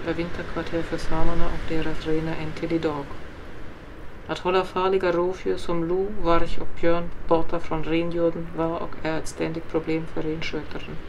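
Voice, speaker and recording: A woman talks in a monotone, flat intonation. Noticeable background noise runs beneath her voice. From northern Sweden, Ångermanland. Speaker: painter and storyteller. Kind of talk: oral history narration.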